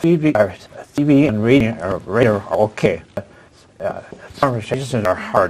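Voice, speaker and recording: A man with a medium pitch talks at a moderate pace with lively intonation and long, frequent pauses. Noticeable background noise runs underneath. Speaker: person with aphasia. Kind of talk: support group discussion. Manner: halting.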